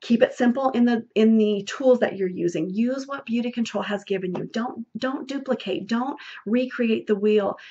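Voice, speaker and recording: A woman talks with a fairly high pitch, a dark, mellow tone and ordinary pitch variation. She leaves hardly any pauses. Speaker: beauty sales consultant and trainer. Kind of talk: training talk. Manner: fast; animated.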